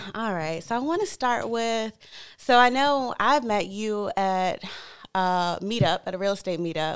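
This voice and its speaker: Recorded very cleanly against a silent background, a woman with a normal speaking voice talks at a fairly slow pace, her medium pitch carrying lively intonation. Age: 30s. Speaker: podcast host. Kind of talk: interview.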